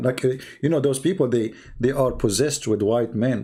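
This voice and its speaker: A man speaks at a moderate pace in a dark, mellow tone that is somewhat breathy. The recording is very clean, with a silent background. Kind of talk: live streamed polemic commentary. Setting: live broadcast. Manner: animated, mocking.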